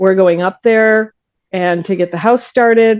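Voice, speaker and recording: A woman's normal speaking voice at medium pitch, with ordinary pitch variation and a moderate pace. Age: 60s. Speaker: crime writer and forensic scientist. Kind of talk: interview.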